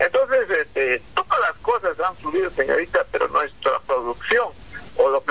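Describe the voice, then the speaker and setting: A man talks at a fairly slow pace. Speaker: farmers' federation leader. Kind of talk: interview.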